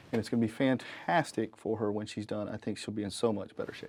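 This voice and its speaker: This man has a Southern US accent. His pace is very fast. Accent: Southern US (Georgia). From North Georgia, US South. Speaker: HVAC technician and show host. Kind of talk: casual presentation to camera.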